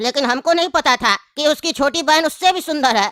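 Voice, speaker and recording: At a moderate pace, someone performs a put-on character voice with a high pitch. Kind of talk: comic interview answer.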